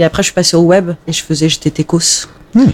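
A woman talks in a normal speaking voice at a fairly low pitch, with ordinary pitch variation. The sound is dry and close, with no echo. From France, Alsace. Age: 30s. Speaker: journalist. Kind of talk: casual chat. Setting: home, cats present.

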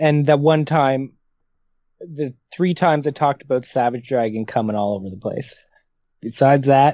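Speaking with a Canadian accent in a dark, mellow tone, a man keeps a moderate pace but takes long, frequent pauses. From Canada (Ontario). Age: 40s. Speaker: comic book podcast co-host. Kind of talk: casual chat.

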